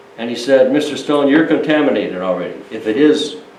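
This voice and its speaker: A man's fairly high voice at a moderate pace, amid audible room echo and noticeable background noise. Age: 70s. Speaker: storyteller. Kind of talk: casual talk to an audience. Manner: halting.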